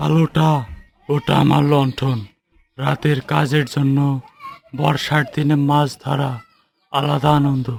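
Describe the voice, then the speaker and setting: A man puts on a cartoonish character voice at a fairly high pitch. He delivers it at a fairly slow pace. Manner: gentle, storytelling.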